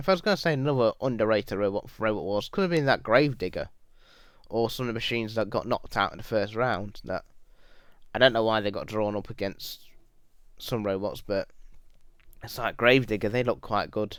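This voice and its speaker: With a British accent, a man talks at a fairly quick pace with ordinary pitch variation and long, frequent pauses on a very clean recording with a silent background. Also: medium pitch for a man. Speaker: YouTuber. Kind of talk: Q&A video monologue. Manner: halting, repetitive.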